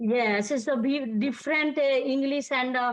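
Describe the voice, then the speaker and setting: At a high pitch, a woman speaks in a monotone, flat intonation. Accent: Indian. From India, Delhi. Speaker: student. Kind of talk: self-introduction in class. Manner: halting.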